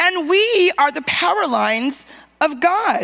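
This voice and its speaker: Amid noticeable background noise, a woman sounds animated, her pitch swinging very widely. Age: 50s. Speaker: preacher. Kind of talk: sermon. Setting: church conference, stage with audience. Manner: animated, call-and-response preaching.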